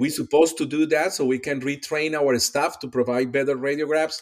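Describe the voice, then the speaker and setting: Moderate pace in a Spanish accent. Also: man. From Colombia. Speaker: pediatric dentist and radiology expert. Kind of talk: casual interview chat.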